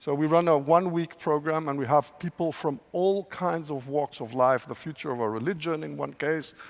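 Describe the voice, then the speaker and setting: Hardly pausing, a man talks at a moderate pace and fairly high pitch with ordinary pitch variation. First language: Spanish. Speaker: professor, scenario planner. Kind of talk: panel discussion. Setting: stage with audience.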